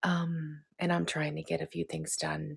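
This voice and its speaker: A woman speaks softly. Her pace is moderate. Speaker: lifestyle vlogger. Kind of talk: casual vlog talk. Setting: at home, one-room cottage. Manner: quiet, soft-spoken.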